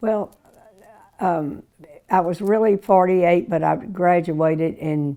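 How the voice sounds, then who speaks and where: A woman with an Arkansas accent speaks at a very slow pace with long, frequent pauses. Her pitch is fairly low, with ordinary pitch variation. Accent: Southern US (Arkansas). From US South, Little Rock, Arkansas. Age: 90s. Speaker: interviewee recalling her life. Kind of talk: oral history interview. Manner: halting.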